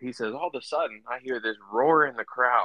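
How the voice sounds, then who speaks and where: With a dry, close sound and no echo, a man speaks at a moderate pace in a bright, sharp tone with ordinary pitch variation. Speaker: professional baseball player. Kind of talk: casual interview. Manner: relaxed.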